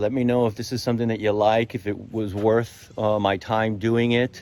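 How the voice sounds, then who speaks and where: Using an ordinary speaking voice, a man with a medium pitch talks at a fairly quick pace with fairly even intonation. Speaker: real estate agent. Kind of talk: walkthrough tour video. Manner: casual with fillers.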